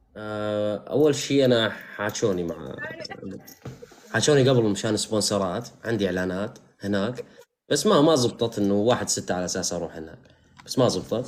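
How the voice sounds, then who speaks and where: This man has a plain, everyday voice with a fairly low pitch. He talks at a moderate pace with ordinary pitch variation. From Syria, Al-Hasakah. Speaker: live streamer. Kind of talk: casual chat.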